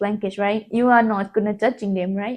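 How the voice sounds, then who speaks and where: A non-native accent over a quiet background. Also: woman. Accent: non-native English speaker. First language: not English. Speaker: self-taught English learner. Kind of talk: casual talk to camera.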